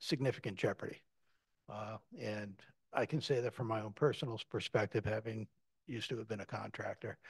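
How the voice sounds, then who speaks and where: Recorded dry with no echo against a quiet background, a man talks with ordinary pitch variation. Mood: calm, measured. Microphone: video call.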